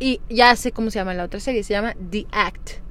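At a fairly quick pace, a woman talks in a normal speaking voice. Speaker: podcast co-host. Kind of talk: casual chat.

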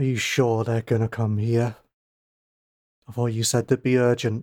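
Dry and close with no echo, a man's gruff, put-on character voice sits at a medium pitch with monotone, flat intonation and a moderate pace.

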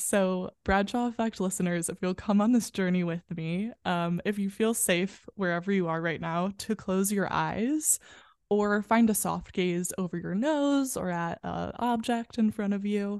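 A woman's ordinary speaking voice at medium pitch, fairly slow with hardly any pauses and ordinary pitch variation, over a quiet background. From US Midwest, western suburbs of Chicago. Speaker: performer and yoga guide. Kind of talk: guided breathing meditation led for podcast listeners. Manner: warm, effusive and bubbly in conversation.

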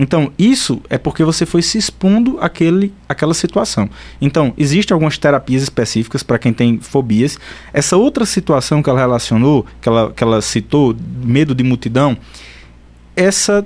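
A man's fairly high voice at a moderate pace, lively in intonation and very even in loudness, a normal speaking voice. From Pernambuco, Brazil (São Bento do Una). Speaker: psychiatrist. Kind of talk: radio interview.

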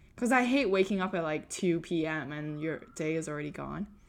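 Lively intonation at a fairly slow pace in an unremarkable speaking voice, on a very clean recording with a silent background. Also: woman. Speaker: software engineer and podcast host. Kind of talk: casual chat.

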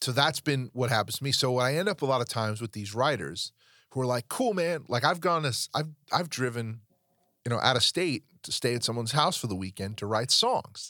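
Recorded very cleanly against a silent background, with a dry, close sound and no echo, a man speaks fairly quickly at a medium pitch in a bright, sharp, intense and animated tone. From New York. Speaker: podcast host and songwriter. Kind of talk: casual chat. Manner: intense, animated.

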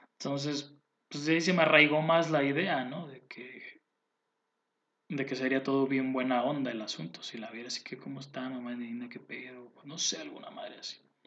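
A man speaks in a Mexican accent at a fairly high pitch. His loudness swings widely at a moderate pace. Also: ordinary pitch variation. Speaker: podcast host. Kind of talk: casual monologue. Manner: halting, many repetitions.

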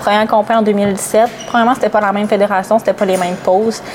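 A woman speaking fairly quickly at a fairly high pitch, with fairly even intonation and noticeable background noise. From Gaspésie, Quebec. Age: 20s. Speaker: bodybuilding athlete. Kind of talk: podcast interview.

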